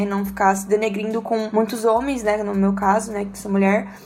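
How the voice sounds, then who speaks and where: This is a woman with a normal speaking voice. Her pitch is fairly high. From Brazil, Campinas. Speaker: church worship singer. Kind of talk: casual chat.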